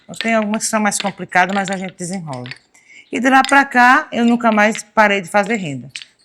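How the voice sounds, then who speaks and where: A woman talks at a fairly quick pace with lively intonation and big swings in loudness. Her medium-pitched voice has a bright, sharp tone. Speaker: lace maker. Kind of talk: interview testimony.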